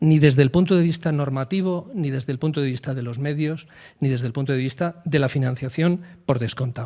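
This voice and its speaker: A man's fairly high-pitched voice has a dark, mellow tone, moving at a fairly quick pace with ordinary pitch variation. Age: old. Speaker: forest administration official. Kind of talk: panel discussion. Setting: round table with audience. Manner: emphatic.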